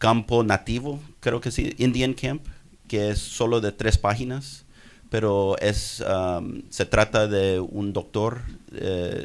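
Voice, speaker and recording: Using ordinary pitch variation, a man with an American accent speaks at a very slow pace. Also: medium pitch for a man. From US, Houston, Texas. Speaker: doctor and writer. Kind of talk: audience comment at conference. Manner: halting, many repetitions.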